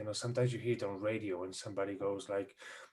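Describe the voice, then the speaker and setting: A man with a non-native accent speaks in a dark, mellow, somewhat breathy tone. His intonation is fairly even. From Spain. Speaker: audio and recording expert guest. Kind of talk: casual explanatory chat. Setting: Zoom video call.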